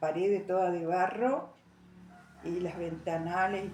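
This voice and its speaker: The voice moves at a fairly slow pace with fairly even intonation over noticeable background noise. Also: woman. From Argentina, Santa Ana. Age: 80s+. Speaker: elderly interviewee. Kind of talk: oral history interview. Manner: halting.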